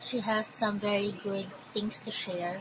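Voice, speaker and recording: A woman with a Filipino accent speaks at a medium pitch with ordinary pitch variation. There is audible room echo along with noticeable background noise. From Philippines. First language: Tagalog. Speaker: crochet vlogger. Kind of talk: casual show and tell.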